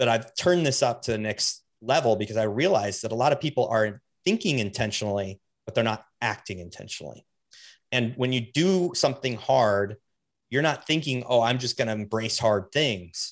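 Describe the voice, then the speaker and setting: This man has an unremarkable speaking voice, medium in pitch, with ordinary pitch variation and a moderate pace against a quiet background. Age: 40s. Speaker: podcaster and bike shop owner. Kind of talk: casual chat.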